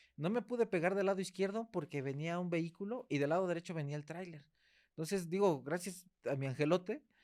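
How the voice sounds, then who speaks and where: Speaking with a Mexican accent, a man with a high voice moves at a fairly quick pace with ordinary pitch variation. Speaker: podcast host. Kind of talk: interview. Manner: fast.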